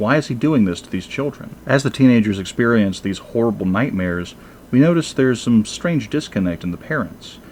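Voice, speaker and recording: A man speaks at a fairly quick pace with a fairly low pitch. He has a plain, everyday voice. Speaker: movie reviewer. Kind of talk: review commentary.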